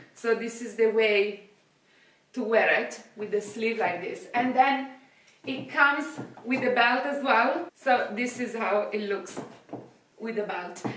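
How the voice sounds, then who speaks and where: With an Italian accent and ordinary pitch variation, the speaker moves at a very slow pace with long, frequent pauses, over light background noise and audible room echo. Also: woman, fairly high pitch for a woman. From Italy. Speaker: fashion youtuber; fashion vlogger. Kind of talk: product review. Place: home room. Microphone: camera far.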